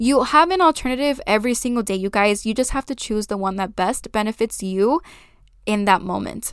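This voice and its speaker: A woman speaks at a fairly quick pace with a fairly high pitch and lively intonation. Her tone is animated, and the recording is very clean with a silent background. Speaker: podcast host and content creator. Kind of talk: casual solo monologue. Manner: fast.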